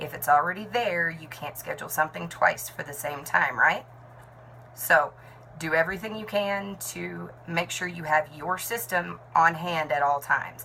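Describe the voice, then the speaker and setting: Her voice is an ordinary speaking voice, fairly low in pitch, with ordinary pitch variation. The woman speaks at a moderate pace, with big swings in loudness. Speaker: network marketing team leader and nurse. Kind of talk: talking-head tutorial.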